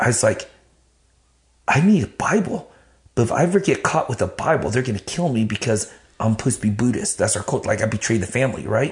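Very fast and somewhat breathy, a man talks with very wide pitch swings. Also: medium pitch for a man. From Vietnam, raised in Dallas area, Texas. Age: 50s. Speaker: podcast guest, ministry leader. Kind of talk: casual chat, life testimony. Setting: garage lounge.

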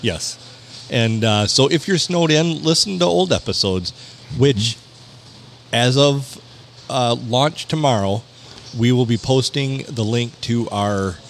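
A man's medium-pitched, fairly slow speech with lively intonation and very even loudness, amid noticeable background noise. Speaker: podcast co-host. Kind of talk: casual chat.

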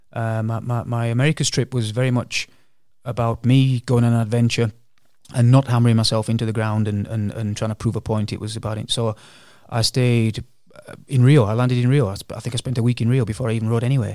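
Speaking at a very fast pace in an English accent, a man keeps a medium pitch and a monotone, flat intonation. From England. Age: 50s. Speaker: long-distance charity cyclist. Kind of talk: casual interview.

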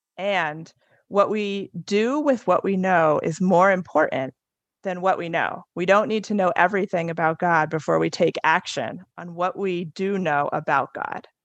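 A woman with an American accent uses an ordinary speaking voice at medium pitch and a fairly slow pace, with ordinary pitch variation. The sound is dry and close with no echo, over a quiet background. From New Jersey. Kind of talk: testimony.

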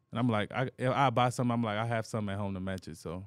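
Very clean, with a silent background, the recording features a man with a Southern US accent and a fairly low pitch, speaking at a very fast pace with fairly even intonation. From Anniston, Alabama. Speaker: professional football player. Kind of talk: casual interview.

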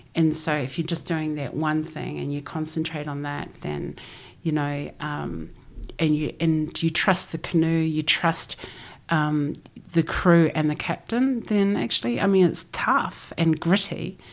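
A woman with a New Zealand accent speaks at a fairly slow pace in a very deep, low voice with ordinary pitch variation. The recording is very clean, with a silent background. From New Zealand (Christchurch), Samoan parents. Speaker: ocean voyager and former journalist. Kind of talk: interview conversation.

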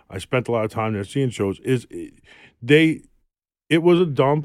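A man with a New York accent talks with lively intonation. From New York City, Queens. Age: 40s. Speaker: tattoo artist. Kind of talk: casual chat. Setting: studio.

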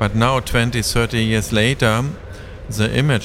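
Fairly low-pitched man with a German accent and fairly even intonation, amid noticeable background noise. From Germany, Berlin. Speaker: professor. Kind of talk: interview. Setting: improvised studio at a festival.

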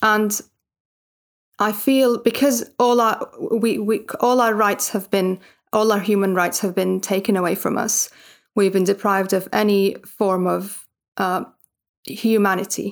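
In a Palestinian accent, a woman speaks fairly slowly at a medium pitch, with fairly even intonation, very even loudness, and long, frequent pauses. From Gaza Strip, Palestine. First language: Arabic. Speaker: writer and translator. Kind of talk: interview. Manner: halting, many restarts and fillers.

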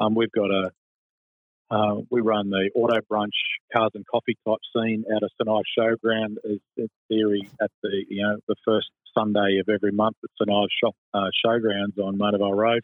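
A man with an Australian accent talks at a moderate pace, his fairly low-pitched voice in a monotone, flat intonation. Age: 50s. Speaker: motorsport club president. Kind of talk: radio interview.

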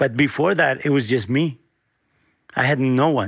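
Speaking with a Spanish accent, a man with a fairly high pitch shows ordinary pitch variation. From Guanajuato, Mexico, raised partly as US migrant farm worker. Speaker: chef and restaurateur. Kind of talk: interview.

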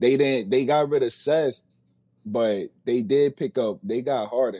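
A man's medium-pitched voice, dark and mellow in tone, in a dry, close sound with no echo. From New Jersey (Paterson). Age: 20s. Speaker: rapper. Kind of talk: interview.

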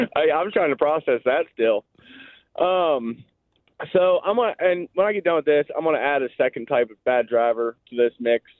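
In an American accent, a man talks at a moderate pace with lively intonation and a normal speaking voice. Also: fairly high pitch for a man. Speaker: caller. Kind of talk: call-in to radio show. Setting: phone call.

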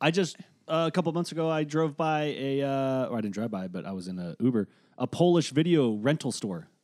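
Very wide pitch swings mark this voice, delivered at a fairly quick pace. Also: man, fairly high pitch for a man, very clean recording, silent background. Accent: American. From Boston. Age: 30s. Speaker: podcast host, comedian. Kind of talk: casual chat. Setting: studio.

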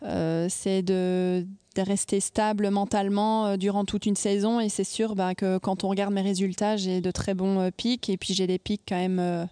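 A woman speaks at a medium pitch with monotone, flat intonation and a very slow pace. The sound is dry and close with no echo, over a quiet background. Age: 20s. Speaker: professional tennis player. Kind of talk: interview. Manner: halting.

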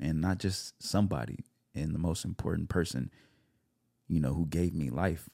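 With an American accent, a man speaks at a moderate pace in a very deep, low pitch with vocal fry, a dark, mellow tone, ordinary pitch variation and long, frequent pauses, in a dry, close sound with no echo. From California. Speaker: actor and self-tape coach. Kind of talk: casual podcast interview. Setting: studio.

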